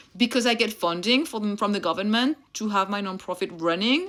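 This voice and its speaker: In a very clean recording with a silent background, a woman with a French accent talks at a moderate pace in an animated tone, her medium pitch varying in an ordinary way. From France (Réunion). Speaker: mentor and content creator. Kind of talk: motivational talk to camera.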